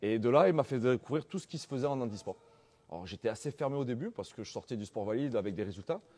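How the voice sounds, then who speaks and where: Talking at a very fast pace, a man with a slight southern French accent uses a medium pitch, a dark, mellow tone and lively intonation. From southern France, Antibes. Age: 30s. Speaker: wheelchair basketball player. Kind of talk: interview. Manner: hesitant, many fillers.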